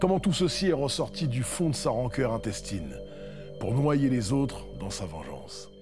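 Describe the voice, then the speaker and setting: Over music in the background, a man with a medium pitch talks at a fairly slow pace, his voice making very wide pitch swings. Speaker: storyteller. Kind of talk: horror story narration.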